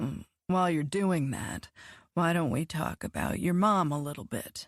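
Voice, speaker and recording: Using a put-on character voice, a woman speaks at a fairly low pitch. Her pace is moderate. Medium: read story.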